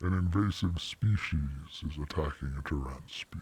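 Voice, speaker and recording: This man's voice is a put-on character. It sits very deep and low in pitch. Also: moderate pace. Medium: actual play. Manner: formal, measured, courteous.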